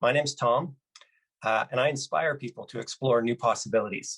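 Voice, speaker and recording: The speaker has a Canadian accent and a fairly quick pace. The sound is dry and close, with no echo. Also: man. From Canada, British Columbia. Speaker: motivational speaker. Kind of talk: keynote talk. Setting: virtual conference.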